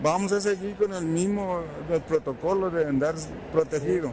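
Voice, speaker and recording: A man talks at a high pitch and a moderate pace. Noticeable background noise runs underneath. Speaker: elderly vaccine recipient. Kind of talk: street interview.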